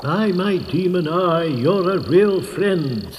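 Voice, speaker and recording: A man puts on a character voice, pitched high for a man. He speaks at a very slow pace against clear background noise. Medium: read story. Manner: gloomy, theatrical.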